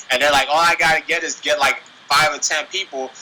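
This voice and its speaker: Speaking with a Washington DC accent, a man uses a fairly high pitch at a fairly quick pace. Noticeable background noise runs behind him. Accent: US East Coast, DC-area urban speech. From Nigeria, raised in the DC area. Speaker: professional MMA fighter. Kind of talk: casual interview. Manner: animated.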